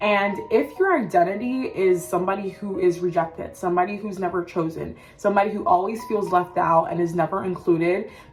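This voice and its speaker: A woman talks at a fairly quick pace with hardly any pauses, her pitch medium and her intonation fairly even. Background noise is noticeable. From Cameroon. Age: 20s. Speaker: self-development content creator. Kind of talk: motivational pep talk to camera. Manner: casual, conversational.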